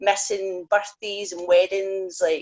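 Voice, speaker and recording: A woman with a Scottish accent and a medium-pitched voice. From Scotland. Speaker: professional wrestler. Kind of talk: casual chat. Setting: video call.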